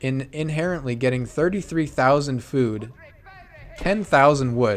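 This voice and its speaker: A man with a fairly high pitch speaks at a fairly slow pace with lively intonation, over noticeable background noise. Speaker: esports caster. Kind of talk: live commentary. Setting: live stream. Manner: loud; animated.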